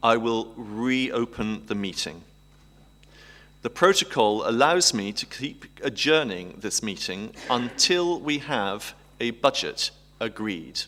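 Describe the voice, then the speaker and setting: At a very slow pace, a man speaks at a medium pitch with lively intonation. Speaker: council meeting chair. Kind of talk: formal meeting chairing. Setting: council chamber. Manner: formal.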